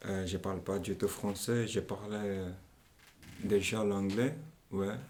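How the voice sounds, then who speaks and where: At a very slow pace, a man with a Portuguese accent speaks at a fairly low pitch with fairly even intonation. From Angola. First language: Portuguese (speaking French). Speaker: young migrant interviewee. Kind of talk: interview. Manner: halting.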